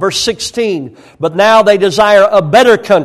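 A high-pitched man with an American accent and ordinary pitch variation. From rural United States. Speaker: pastor. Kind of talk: sermon. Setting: church. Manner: hesitant fillers.

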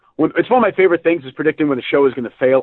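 This man speaks at a fairly high pitch with ordinary pitch variation.

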